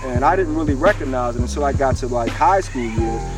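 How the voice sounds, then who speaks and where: Music plays in the background as a man talks at a fairly quick pace amid audible room echo. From West Philadelphia, US. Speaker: author. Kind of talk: interview. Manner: animated.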